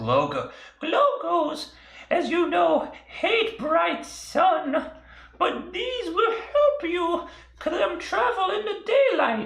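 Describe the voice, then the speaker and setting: An extremely high-pitched put-on character voice speaks at a very slow pace with an audible echo. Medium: actual play. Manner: rambling, eccentric.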